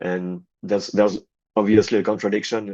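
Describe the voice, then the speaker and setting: In a French accent, a man speaks at a moderate pace with a fairly low pitch and monotone, flat intonation over a quiet background. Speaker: rock guitarist. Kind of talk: interview. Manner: halting.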